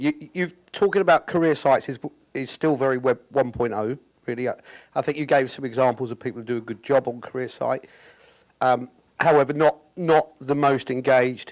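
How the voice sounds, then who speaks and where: A British accent at a fairly quick pace with ordinary pitch variation, dry and close with no echo, on a very clean recording with a silent background. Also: man. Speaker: audience member asking a question. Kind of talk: audience question. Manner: halting, many repetitions.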